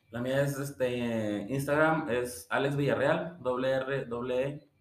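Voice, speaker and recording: Very slowly, a man with a Mexican accent talks at a medium pitch with ordinary pitch variation. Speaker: podcast co-host. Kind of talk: casual chat.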